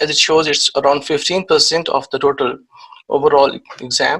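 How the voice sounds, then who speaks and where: A man with a Pakistani accent talks at a moderate pace in a bright, sharp tone and a fairly high pitch. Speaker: IT security trainer. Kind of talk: lecture. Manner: hesitant, many fillers.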